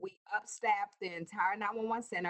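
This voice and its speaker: This woman has an unremarkable speaking voice, medium in pitch, and she goes at a moderate pace. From US South. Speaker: emergency services director. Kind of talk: interview.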